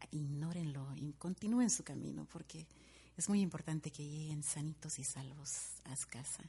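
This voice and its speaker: A woman with a normal speaking voice and lively intonation keeps a moderate pace. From Guatemala, Guatemala City. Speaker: radio host. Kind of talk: radio show with dedications and music.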